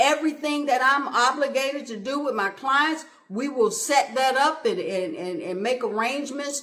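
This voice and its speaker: In a raised, projected voice, a woman with a high pitch talks at a fairly slow pace, with lively intonation and an animated tone. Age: 60s. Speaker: motivational podcast host. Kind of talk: motivational talk.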